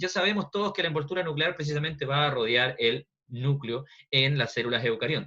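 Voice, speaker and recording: At a fairly quick pace, a man speaks with fairly high pitch, ordinary pitch variation and very even loudness. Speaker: biology teacher. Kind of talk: online lecture. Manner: fast.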